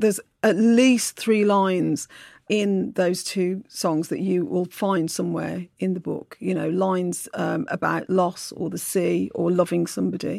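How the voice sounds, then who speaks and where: A woman talks fairly slowly in a very clean recording where the background is silent. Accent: Brummie. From Birmingham, England. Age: middle-aged. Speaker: novelist. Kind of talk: interview. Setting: studio.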